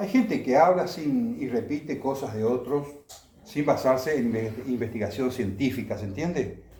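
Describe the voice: A man's dark, mellow voice at medium pitch, moderate pace and lively intonation, with strong room echo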